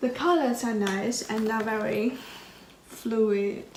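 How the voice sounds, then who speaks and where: A woman's fairly high voice with a non-native accent, at a fairly slow pace with ordinary pitch variation, audible room echo, and noticeable background noise. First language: not English. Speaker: art student YouTuber. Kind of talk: casual vlog, supplies haul. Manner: hesitant, with fillers.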